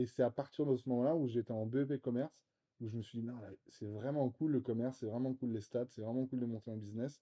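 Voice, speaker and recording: At a very fast pace, a man speaks at medium pitch with ordinary variation. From Brittany, France (Vannes). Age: 30s. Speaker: real estate investor. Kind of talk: casual interview. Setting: apartment. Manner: hesitant, many fillers.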